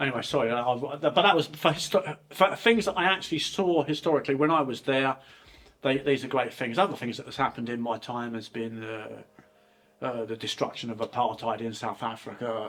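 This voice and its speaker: With an English accent, a man talks at a fairly quick pace and medium pitch, his intonation lively and his loudness swinging widely. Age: 60s. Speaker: channel host's father. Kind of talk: casual chat. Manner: halting.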